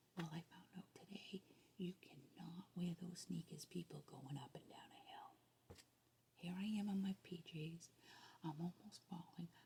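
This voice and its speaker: A somewhat breathy whisper at a fairly slow pace. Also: woman. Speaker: ASMR creator. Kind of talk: casual ASMR chat to camera. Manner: whispered.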